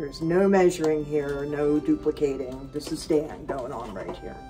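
Clear music plays behind a woman whose voice shows ordinary pitch variation. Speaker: vlog host. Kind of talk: casual vlog chat. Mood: light, cheerful. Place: kitchen. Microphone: camera far.

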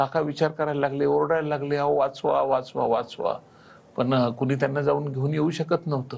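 A flat, monotone delivery at a very even loudness. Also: man, fairly high pitch for a man. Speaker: coaching class founder and teacher. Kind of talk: TV interview.

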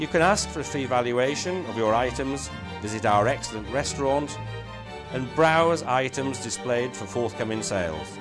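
Over background music, a man of medium pitch speaks at a moderate pace with very wide pitch swings. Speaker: auction house chairman. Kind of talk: corporate promotional address.

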